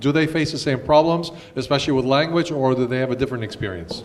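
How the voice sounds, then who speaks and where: Ordinary pitch variation comes through over noticeable background noise and audible room echo. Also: man. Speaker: professor of history and event moderator. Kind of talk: Q&A moderation.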